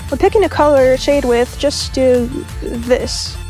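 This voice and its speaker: A woman's voice with music in the background. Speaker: digital artist. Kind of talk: tutorial voice-over read from a script. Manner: casual, upbeat.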